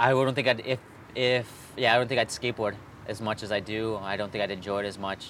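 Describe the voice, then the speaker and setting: A man with a Californian accent, fairly low in pitch, talking at a very fast pace with fairly even intonation. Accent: sounds Californian. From Chicago (Honduran family). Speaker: skateboarder. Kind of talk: casual chat.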